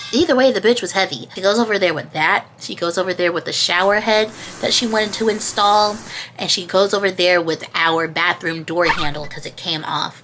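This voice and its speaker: A woman talks at a fairly quick pace in a medium pitch with ordinary pitch variation. Noticeable background noise is present. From Georgia, USA. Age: 20s. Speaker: YouTuber. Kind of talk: casual storytime talk to camera.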